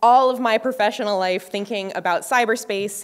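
At a moderate pace, a woman talks with ordinary pitch variation. The background is quiet. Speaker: conference speaker. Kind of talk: lecture. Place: stage. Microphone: podium.

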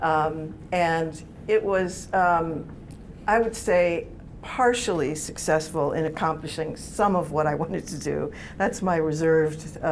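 Light background noise sits behind a woman with a fairly low pitch. She speaks at a fairly slow pace with ordinary pitch variation. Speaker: television writer; panelist. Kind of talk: panel discussion. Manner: halting. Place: meeting room. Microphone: lapel.

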